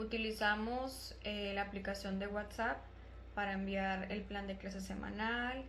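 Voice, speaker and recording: A fairly slow delivery with audible room echo. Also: woman. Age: 20s. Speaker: primary school teacher. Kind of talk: prepared testimony.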